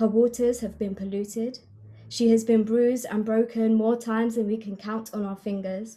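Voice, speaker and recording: A woman speaks at a fairly high pitch in a dark, mellow, somewhat breathy tone, passionate yet with monotone, flat intonation. The recording is very clean, with a silent background. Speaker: spoken word poet. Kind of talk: spoken introduction to a poem. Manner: earnest, passionate.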